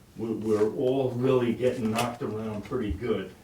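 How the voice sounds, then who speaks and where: Over noticeable background noise and audible room echo, a man talks at a moderate pace with fairly even intonation. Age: 70s. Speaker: resident speaking at public meeting. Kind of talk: public comment at village meeting. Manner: halting, repeats words.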